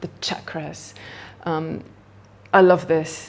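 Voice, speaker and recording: Noticeable background noise can be heard throughout. The speaker is a woman. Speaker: yoga teacher. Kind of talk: casual talk-through of books. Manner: hesitant with many fillers; quick.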